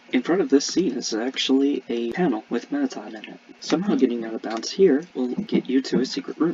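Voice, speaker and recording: A fairly high-pitched man at a fairly quick pace, lively intonation and big swings in loudness, over noticeable background noise. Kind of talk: game map walkthrough narration. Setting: home, construction noise.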